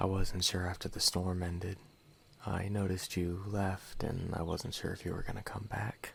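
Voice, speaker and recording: A soft-spoken voice with a calm, gentle tone talks at a fairly slow pace. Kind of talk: ASMR roleplay, soft spoken, speaking directly to the listener. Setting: studio microphone, binaural recording. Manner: soft-spoken, calm, gentle.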